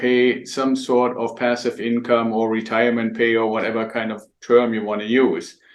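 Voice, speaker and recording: Here a man speaks with a German accent. His pace is moderate. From Germany. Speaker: real estate investor and mentor. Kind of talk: interview. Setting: podcast interview.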